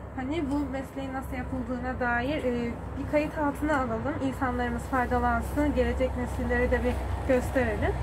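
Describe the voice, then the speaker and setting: Over noticeable background noise, a woman talks at a moderate pace with hardly any pauses. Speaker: university student interviewer. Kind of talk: interview questions. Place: workshop.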